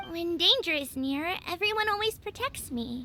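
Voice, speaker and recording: An extremely high-pitched put-on character voice over clear background noise. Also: moderate pace. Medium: video game.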